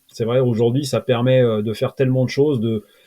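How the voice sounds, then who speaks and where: A man's medium-pitched voice with a dark, mellow tone and a dry, close sound with no echo. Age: 40s. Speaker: SEO freelancer and automation trainer. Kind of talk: interview.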